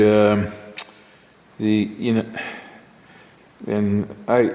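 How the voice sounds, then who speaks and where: A man mumbles at a medium pitch. There is audible room echo and noticeable background noise. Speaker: machinist tool reviewer. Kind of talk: workshop tutorial. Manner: mumbling; halting.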